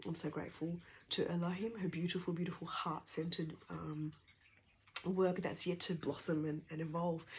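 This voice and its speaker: Quiet and somewhat breathy, a woman speaks at a fairly quick pace with a fairly low pitch and fairly even intonation. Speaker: energy healer and essential oils practitioner. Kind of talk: personal talk sharing her journey and work. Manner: speaking quietly; hesitant, many fillers.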